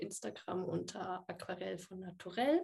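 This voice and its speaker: A woman's voice comes across with a dark, mellow tone and is somewhat breathy. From Würzburg, Franconia, Germany. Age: 20s. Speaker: software developer and watercolour artist. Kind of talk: casual interview.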